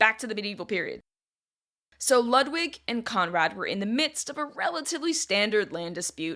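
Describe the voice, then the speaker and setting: With a Northeastern American accent, a woman speaks at a fairly high pitch and a fairly quick pace, her bright, sharp tone showing very wide pitch swings on a very clean recording with a silent background. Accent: Northeast American. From Northeast US. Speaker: history podcast host. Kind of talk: solo history podcast narration. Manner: casual, conversational.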